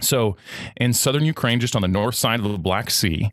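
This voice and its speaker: With an American accent and lively intonation, a man is heard in a dry, close sound with no echo. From California, US. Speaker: podcast host, guest here. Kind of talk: casual interview. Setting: remote podcast interview.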